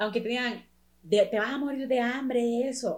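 A woman talks at a moderate pace in an ordinary speaking voice. Her pitch is fairly high. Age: 20s. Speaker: professional dancer and dance teacher. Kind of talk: casual chat.

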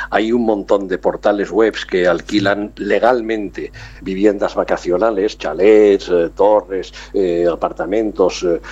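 Noticeable background noise fills the recording. A man speaks through it at a fairly slow pace. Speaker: travel business owner. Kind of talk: radio interview.

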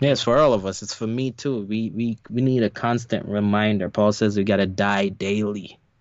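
A man with a plain, everyday voice speaks at a moderate pace in a fairly low pitch, with hardly any pauses. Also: fairly even intonation. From New York. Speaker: podcast co-host. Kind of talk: casual chat.

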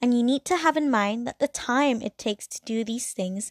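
A woman speaks in a high pitch with lively intonation. The recording is very clean, with a silent background and a dry, close sound with no echo. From Hong Kong. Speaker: podcast host. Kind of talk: scripted solo talk.

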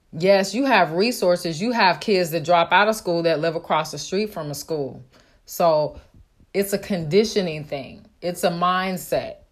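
Recorded very cleanly over a silent background, a plain, everyday voice with an American accent moves at a fairly slow pace with ordinary pitch variation. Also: woman, fairly low pitch for a woman. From Oakland, California. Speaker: real estate wholesaler. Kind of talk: solo podcast monologue.

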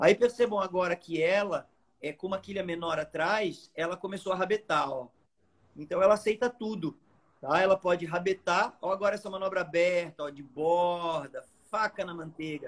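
Speaking at a high pitch, a man shows big swings in loudness. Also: ordinary pitch variation, moderate pace. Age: 40s. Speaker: surfboard shaper. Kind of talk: live-stream product talk.

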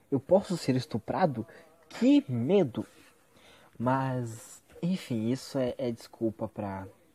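Speaking very slowly with long, frequent pauses, a man uses a medium pitch, a dark, mellow tone and a somewhat breathy voice, his lively intonation captured in a dry, close sound with no echo. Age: 20s. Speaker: vlogger. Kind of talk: casual monologue.

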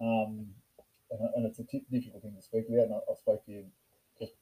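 A man with an Australian accent speaks at a moderate pace in a dry, close sound with no echo. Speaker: podcast host and rugby club member. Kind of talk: casual chat. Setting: in person, drinking beers.

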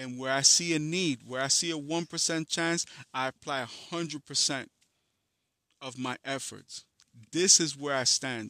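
A bright, sharp tone with an American accent, fairly even intonation, and a moderate pace, in a very clean, dry, close recording with no echo and a silent background. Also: man, fairly high pitch for a man. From New York City (Harlem, Bronx), Dominican family. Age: 40s. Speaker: podcast host and music artist. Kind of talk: casual monologue.

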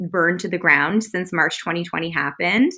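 The tone of the woman speaking comes across bright and sharp. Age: 30s. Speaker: business and life coach. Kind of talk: casual chat.

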